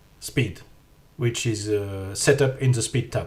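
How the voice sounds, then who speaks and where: In a French accent, the speaker sounds somewhat breathy with fairly even intonation. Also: man. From France. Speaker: 3D artist and teacher. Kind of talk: software tutorial narration.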